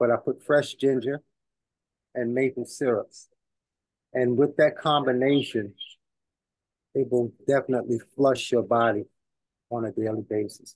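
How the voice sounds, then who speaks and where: With a New York accent, a man talks at medium pitch and moderate pace, his intonation fairly even. He leaves long, frequent pauses, and the sound is dry and close with no echo. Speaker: community elder. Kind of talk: talk at a community celebration. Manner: halting, many fillers.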